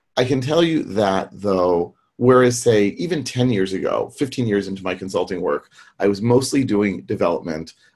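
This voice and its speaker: A man with an American accent, a plain, everyday voice at medium pitch, lively intonation and a moderate pace. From US. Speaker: technical trainer and consultant. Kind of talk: online presentation and Q&A. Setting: video call, webinar.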